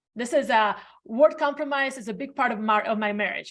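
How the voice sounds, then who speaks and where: A woman speaks at a very fast pace with a non-native accent. Her pitch variation is ordinary. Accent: foreign. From Latvia. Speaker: realtor. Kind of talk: interview.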